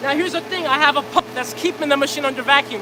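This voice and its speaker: A loud, energetic voice comes through over noticeable background noise. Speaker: livestreamer demonstrating plastic pyrolysis reactor. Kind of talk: live stream demo. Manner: loud, raised voice over pump noise; casual, energetic.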